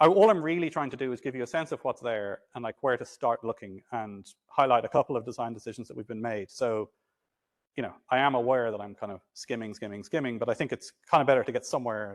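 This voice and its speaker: The speech is very fast, with ordinary pitch variation and big swings in loudness. The sound is dry and close with no echo, over a quiet background. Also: man, medium pitch for a man. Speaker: mathematics lecturer. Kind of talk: lecture. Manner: halting.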